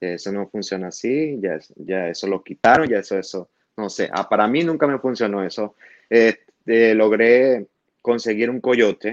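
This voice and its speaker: A man speaks in an ordinary speaking voice at medium pitch and a fairly slow pace, with ordinary pitch variation over a quiet background. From Venezuela, Maracaibo (Zulia). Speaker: asylum-seeking immigrant. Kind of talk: interview testimony.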